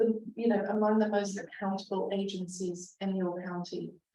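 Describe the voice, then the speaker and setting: Audible room echo carries a woman's fairly high, dark, mellow voice. She keeps a moderate pace and fairly even intonation. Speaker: arts council director. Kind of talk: presentation. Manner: loud, projecting; halting, many fillers.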